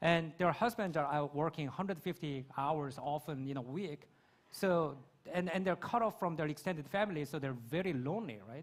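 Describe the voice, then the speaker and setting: In a Korean accent, a man speaks at a moderate pace with a fairly high pitch and ordinary pitch variation, on a very clean recording with a silent background. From South Korea. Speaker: creator and conference speaker. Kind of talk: panel Q&A.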